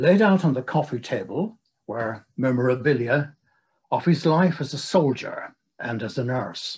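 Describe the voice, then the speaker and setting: Against a quiet background, a man with a British accent speaks fairly slowly in a fairly high, somewhat breathy voice. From England. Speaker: retired psychiatric nurse and nursing historian. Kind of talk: lecture. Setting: video call. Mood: calm, solemn, reflective. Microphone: video call.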